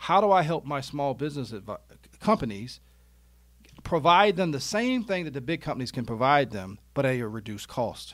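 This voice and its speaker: A man's fairly high, animated voice at a fairly quick pace, with very wide pitch swings. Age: 40s. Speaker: retirement wealth coach and insurance business owner. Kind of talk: casual interview. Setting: studio.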